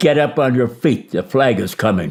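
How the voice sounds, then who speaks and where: In a Midwestern American accent, a dark, mellow voice moves at a moderate pace with very wide pitch swings. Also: man. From Detroit, Michigan. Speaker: war veteran. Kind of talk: interview answer.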